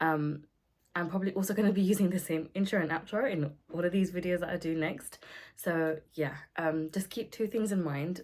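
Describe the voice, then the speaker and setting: A woman with a British accent speaks at a moderate pace. Her voice is fairly low, with ordinary pitch variation. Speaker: beauty vlogger. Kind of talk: casual talk to camera. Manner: pauses often.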